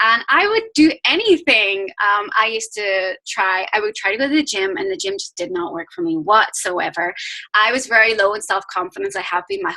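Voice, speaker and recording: Bright and sharp in tone, a woman with a Northern Irish accent talks at a fairly quick pace. Her fairly high voice has lively intonation. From Northern Ireland. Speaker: fitness business coach. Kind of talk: team call talk. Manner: fast.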